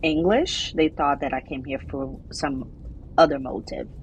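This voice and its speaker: A woman's very deep, low voice with a Portuguese accent. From Brazil. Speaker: immigration attorney. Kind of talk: interview. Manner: halting.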